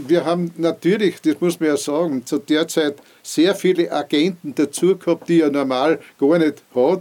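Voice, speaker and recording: A man's ordinary speaking voice, fairly high in pitch, at a moderate pace with fairly even intonation. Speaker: former mayor. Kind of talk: oral history interview.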